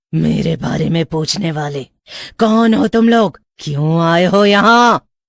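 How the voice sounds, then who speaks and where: A woman delivers a cartoonish character voice at a fairly slow pace. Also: fairly low pitch for a woman. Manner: eerie.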